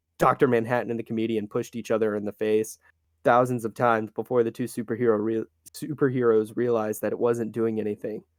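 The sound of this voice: The background stays quiet while someone reads in an unforced reading voice.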